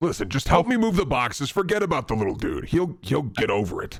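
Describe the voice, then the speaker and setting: This is a man using a put-on character voice. He speaks at a very fast pace with a high pitch. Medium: actual play. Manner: casual, street-wise, cautionary.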